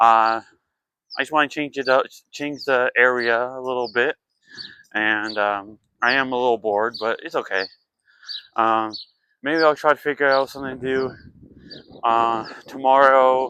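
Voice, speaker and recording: The bright, sharp tone moves at a moderate pace with fairly even intonation and long, frequent pauses. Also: man, medium pitch for a man. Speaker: vlogger. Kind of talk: casual vlog. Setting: outdoors downtown. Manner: halting, stuttering.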